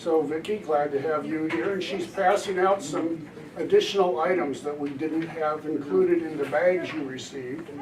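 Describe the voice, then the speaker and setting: With noticeable background noise and audible room echo, a man talks at a moderate pace. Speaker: disaster preparedness volunteer presenter. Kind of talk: community presentation.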